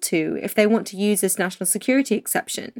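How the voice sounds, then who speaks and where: A woman with a fairly high pitch talks at a moderate pace with ordinary pitch variation. The recording is very clean, with a silent background and a dry, close sound with no echo. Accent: British. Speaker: podcast co-host, economics journalist. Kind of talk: podcast discussion.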